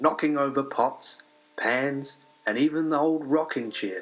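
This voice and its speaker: Over music in the background, a man talks very slowly in a calm tone at a fairly high pitch. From New Zealand. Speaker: storyteller. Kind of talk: children's story read-along. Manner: calm, steady pace.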